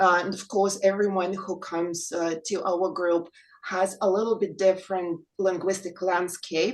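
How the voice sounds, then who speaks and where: In a Russian accent, a woman at medium pitch speaks at a moderate pace with fairly even intonation. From Ukraine. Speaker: English teacher, reading group member. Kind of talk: panel discussion.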